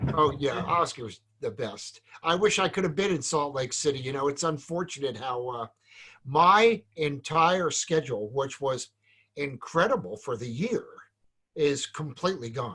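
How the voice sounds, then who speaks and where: With a New Jersey accent, a man speaks at a moderate pace in a fairly high pitch, his bright, sharp tone carrying lively intonation. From New Jersey, Point Pleasant. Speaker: salon business educator. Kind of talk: casual chat.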